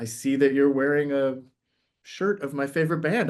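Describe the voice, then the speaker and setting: In a quiet setting, a man delivers his words at a moderate pace. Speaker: playwright. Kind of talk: interview. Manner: loud; animated.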